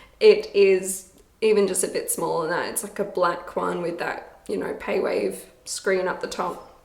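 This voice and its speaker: A woman talks with an Australian accent. Her pace is fairly slow. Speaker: busker, musician. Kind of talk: casual talk to camera. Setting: echoey room, reverb.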